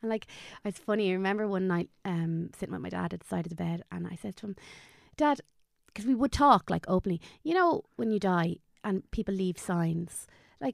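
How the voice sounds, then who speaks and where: In a Dublin accent, a woman speaks at a very fast pace and medium pitch with ordinary pitch variation, on a very clean recording with a silent background and a dry, close sound with no echo. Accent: Dublin Irish. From Dublin, Ireland. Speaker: guest, online content creator. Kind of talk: casual interview, emotional storytelling.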